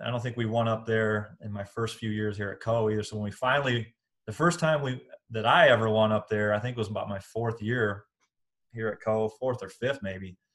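A man with a Midwestern American accent talks at a medium pitch and fairly quick pace with fairly even intonation. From Iowa, Des Moines. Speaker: college basketball coach. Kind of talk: casual interview.

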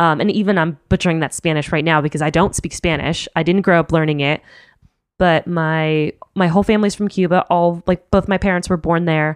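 A woman with a plain, everyday voice talks at a fairly quick pace and with fairly even intonation, the sound dry and close with no echo and the background quiet. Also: fairly low pitch for a woman. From Miami, Florida (Cuban-American). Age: 30s. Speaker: podcast host. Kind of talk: casual chat.

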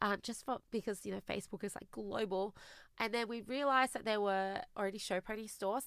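Over a silent background in a very clean recording, a woman with an Australian accent talks at a fairly quick pace in a fairly high voice. Her tone is bright and sharp, her pitch moves in an ordinary way, and the sound is dry and close with no echo. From Australia (immigrated from China at eight). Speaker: business founder and CEO. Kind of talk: interview.

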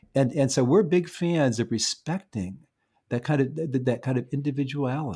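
A man with a fairly high, somewhat breathy voice and a dark, mellow tone speaks at a fairly quick pace. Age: 70s. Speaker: neuropsychologist and parenting author. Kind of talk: interview conversation. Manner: halting, many repeated words.

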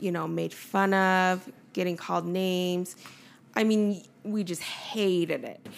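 In a western US accent, a woman talks at a very slow pace with a medium pitch and fairly even intonation. The recording is very clean, with a silent background. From Utah (Nephi), adopted from Korea at 3. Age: 30s. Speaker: cupcake shop owner. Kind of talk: casual chat interview.

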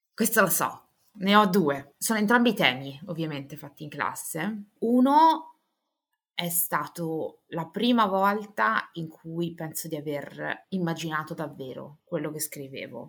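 A woman's ordinary speaking voice, fairly low in pitch and fairly slow, with lively intonation and big swings in loudness. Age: 30s. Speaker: author and editor. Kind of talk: interview.

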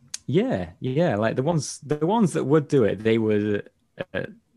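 A man with a dark, mellow tone and lively intonation speaks at a moderate pace in a very clean recording with a silent background. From northern England. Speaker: prop maker. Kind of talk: casual chat.

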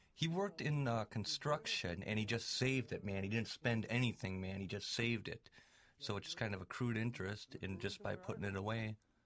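Speaking at a fairly quick pace, a man with a Wisconsin accent uses ordinary pitch variation. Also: medium pitch for a man. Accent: Upper Midwest (Wisconsin). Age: 30s. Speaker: documentary subject, filmmaker. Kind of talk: DVD audio commentary.

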